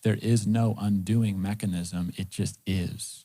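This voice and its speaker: This man's fairly low voice has a dark, mellow tone and fairly even intonation, captured in a very clean recording with a silent background. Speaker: pastor. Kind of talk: sermon. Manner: fast.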